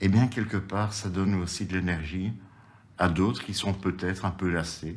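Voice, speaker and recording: A man is speaking at a very slow pace. He keeps his intonation fairly even. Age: 60s. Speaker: activist in a seniors' protest group. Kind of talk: interview testimony.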